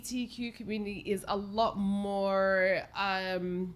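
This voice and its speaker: Speaking with an Australian accent, a woman uses a medium pitch and a bright, sharp tone. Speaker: homelessness advocate. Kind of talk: casual chat. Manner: halting.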